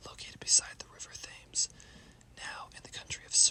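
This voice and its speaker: The speaker whispers at a moderate pace. Noticeable background noise runs behind the voice. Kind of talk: ASMR history narration. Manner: whispered.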